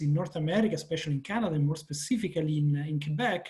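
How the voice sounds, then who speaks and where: A man speaks with an Italian accent. His voice is high, with lively intonation. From Italy. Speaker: professor. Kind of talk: panel discussion.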